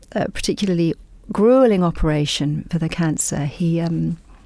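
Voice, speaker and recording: Soft-spoken and fairly quick, a woman with an English accent speaks in a fairly low pitch with a dark, mellow tone on a very clean recording with a silent background. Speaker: novelist. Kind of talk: radio interview. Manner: halting.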